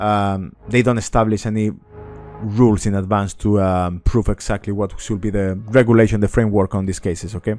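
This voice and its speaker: Over music in the background, a man speaks at a fairly low pitch in a monotone, flat way. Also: fairly quick pace. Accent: Spanish. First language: Spanish. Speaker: market analyst. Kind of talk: market commentary. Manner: halting, many fillers.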